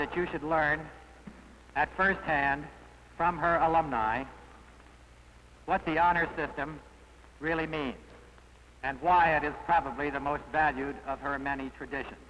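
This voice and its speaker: A man's fairly high voice, moderate in pace and fairly even in intonation, comes through noticeable background noise. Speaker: alumni association president. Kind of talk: formal speech to students.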